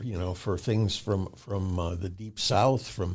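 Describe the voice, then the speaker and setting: In a very clean recording with a silent background, a man with an American accent speaks at a fairly slow pace in a dark, mellow, somewhat breathy tone, his pitch fairly low with ordinary variation. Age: 70s. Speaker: musician. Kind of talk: interview. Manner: halting.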